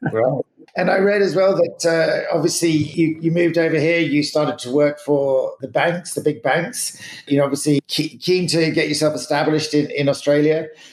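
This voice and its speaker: Noticeable background noise behind a man's fairly high-pitched voice, fairly even in intonation, at a moderate pace. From Canada, then London. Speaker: podcast host. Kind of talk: interview. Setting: podcast.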